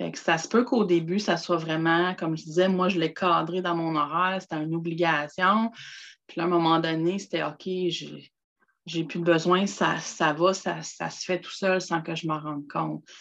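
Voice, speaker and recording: A woman with a Quebec accent speaks at a moderate pace in a fairly low pitch, with fairly even intonation. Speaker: personal development contributor. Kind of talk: casual chat.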